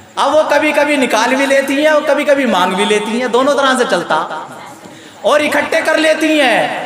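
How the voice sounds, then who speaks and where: A man with an extremely high pitch speaks in an animated tone over noticeable background noise. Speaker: Islamic preacher (mufti). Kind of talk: Islamic sermon (taqreer) delivered to a live audience. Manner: animated, preaching with humor and storytelling.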